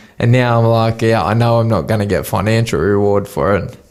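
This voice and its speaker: Medium-pitched man's voice with audible room echo. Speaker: professional boxer. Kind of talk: casual chat. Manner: slurred.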